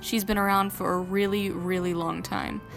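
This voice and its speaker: To music in the background, a woman with a medium pitch speaks at a moderate pace. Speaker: digital artist. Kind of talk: speedpaint commentary voice-over. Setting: home recording, low-quality mic. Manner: casual, slightly hesitant.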